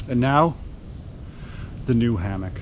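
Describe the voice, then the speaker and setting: With audible room echo, a man talks at a medium pitch with ordinary pitch variation. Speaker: camping vlogger. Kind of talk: casual vlog narration. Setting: outdoors. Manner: loud; animated.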